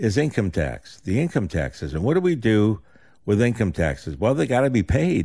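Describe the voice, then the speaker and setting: In a very clean recording with a silent background, a man talks at a fairly quick pace with a dark, mellow tone, vocal fry and very wide pitch swings. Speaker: financial advisor and radio show host. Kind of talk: live radio talk show.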